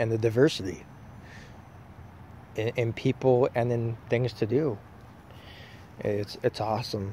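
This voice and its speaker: The voice is somewhat breathy with an American accent and fairly even intonation. It moves at a fairly slow pace with long, frequent pauses. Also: man, medium pitch for a man. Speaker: vlogger. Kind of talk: casual vlog monologue. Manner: halting.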